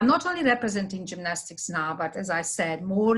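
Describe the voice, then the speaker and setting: A woman speaks with a Hungarian accent at a medium pitch. Her pace is moderate and her intonation lively. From Hungary. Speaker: sports development manager. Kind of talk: presentation.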